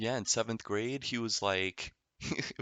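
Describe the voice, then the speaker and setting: At a moderate pace, a man talks in a normal speaking voice, his pitch varying in an ordinary way. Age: 20s. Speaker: opera singer. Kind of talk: casual chat.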